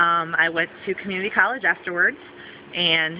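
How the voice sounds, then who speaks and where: Against noticeable background noise, a woman talks at a moderate pace in a medium pitch. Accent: American. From Southwestern Michigan, USA. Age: 30s. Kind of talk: casting video talk to camera.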